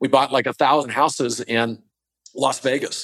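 An ordinary speaking voice with fairly even intonation, on a very clean recording with a silent background. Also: man. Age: 60s. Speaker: entrepreneur and investor. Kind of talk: interview.

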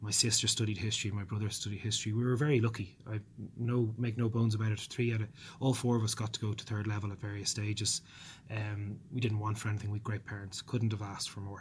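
Very fast and somewhat breathy, a man talks at a fairly low pitch with monotone, flat intonation and a slight Dublin accent. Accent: mild Dublin. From Ireland, South Dublin. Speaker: politician. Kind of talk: interview. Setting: office.

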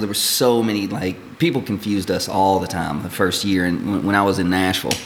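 A man at a moderate pace and fairly even intonation, with noticeable background noise. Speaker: distillery representative. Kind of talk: casual chat, product tasting.

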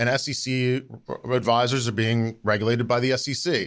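At a moderate pace, a man speaks in a plain, everyday voice at a medium pitch. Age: 40s. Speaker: financial industry consultant. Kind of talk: casual interview.

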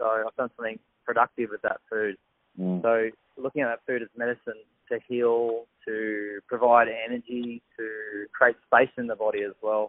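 With an Australian accent, a man speaks at medium pitch and a moderate pace. His intonation stays flat and monotone. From Australia, south of Sydney. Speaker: chef and health coach. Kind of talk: casual interview.

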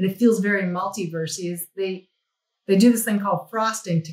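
A woman with an American accent talks at a fairly quick pace. Her voice is somewhat breathy, and her intonation is fairly even. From New Mexico, US. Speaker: visual effects executive. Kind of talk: interview.

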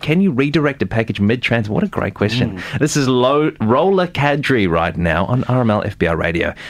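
A man speaks at a moderate pace and a medium pitch. His pitch swings very widely. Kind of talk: radio show parody infomercial. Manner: hyped-up, salesy, over-the-top enthusiasm.

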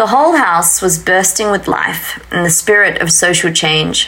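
A woman's medium-pitched voice carries ordinary pitch variation at a moderate pace, with noticeable background noise present. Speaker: podcast host. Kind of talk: interview conversation. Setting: in person, basement room with ambient noise.

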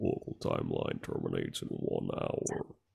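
In a put-on character voice, a man sounds raspy. His pace stays moderate.

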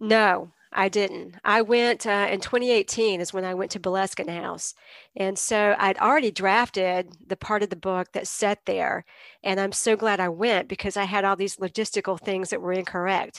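In a dry, close sound with no echo, a woman with an unremarkable speaking voice talks at a medium pitch and moderate pace with fairly even intonation. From eastern North Carolina (Greenville). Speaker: novelist and university literature teacher. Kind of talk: interview. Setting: video call.

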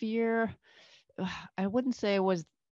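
Over a quiet background, a woman uses a plain, everyday voice at a moderate pace with fairly even intonation, the sound dry and close with no echo. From Northern Canada. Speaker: physician. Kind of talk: casual interview chat.

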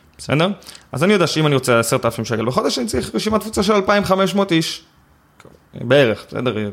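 A man speaks at a fairly quick pace and a fairly high pitch, with very wide pitch swings. Long pauses come often. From Israel, West Bank settlement. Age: 20s. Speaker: affiliate marketing expert. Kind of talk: interview conversation. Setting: in-person recording in Tel Aviv.

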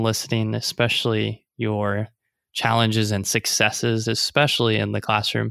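Recorded very cleanly against a silent background, a man with a Midwestern US accent talks at a moderate pace in a bright, sharp tone. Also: dry, close sound with no echo. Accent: US Midwest. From Nebraska. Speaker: podcast host, teacher. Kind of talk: casual interview.

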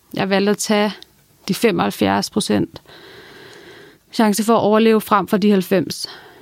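A woman speaks at a medium pitch in a flat monotone. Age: 20s. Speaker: cancer patient sharing her story. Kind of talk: personal testimony.

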